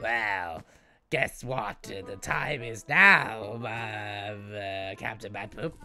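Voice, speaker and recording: Faint music plays behind a man doing a put-on character voice at a medium pitch. He goes at a very slow pace, with long, frequent pauses. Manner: smug, bickering.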